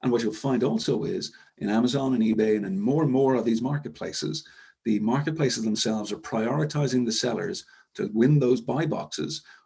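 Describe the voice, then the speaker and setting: Speaking at a fairly quick pace, a man with a slight Irish accent has a dark, mellow tone and vocal fry. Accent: Irish, somewhat. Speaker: e-commerce software executive. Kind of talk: webinar presentation. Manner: fast; hesitant fillers.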